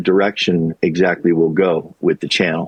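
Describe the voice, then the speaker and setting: The voice belongs to a man. He talks neither fast nor slow. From US Midwest and Colorado. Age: 60s. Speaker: YouTuber and retail worker, former teacher. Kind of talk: interview conversation. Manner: reflective, halting with fillers.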